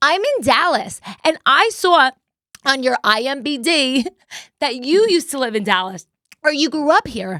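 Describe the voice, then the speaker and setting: A raised, projected voice with a New Jersey accent sounds bright, sharp, intense and energetic, its pitch swinging very widely. The sound is dry and close with no echo, and long pauses come often. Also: woman, high pitch for a woman, moderate pace. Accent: Jersey accent, still noticeable. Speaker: podcast host. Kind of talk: casual chat. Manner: intense, energetic.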